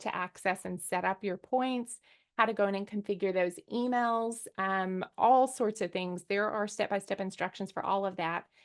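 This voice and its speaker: Woman at medium pitch with fairly even intonation, against a quiet background. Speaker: business owner sharing experience. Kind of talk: webinar presentation. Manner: fast.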